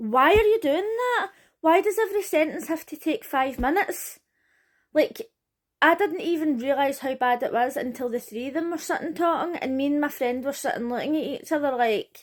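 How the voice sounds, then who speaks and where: In a very clean recording with a silent background, a woman talks at a moderate pace, her high voice swinging very widely in pitch. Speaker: reality TV commentator, YouTuber. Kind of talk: casual recap vlog. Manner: animated.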